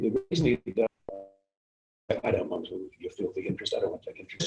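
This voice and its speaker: Music can be heard behind the voice. A man talks fairly quickly. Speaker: actor and theatre director. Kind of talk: interview answer.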